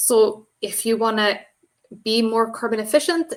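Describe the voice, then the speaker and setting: A woman with a non-native accent. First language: not English. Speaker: software engineer and green software speaker. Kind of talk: presentation talk.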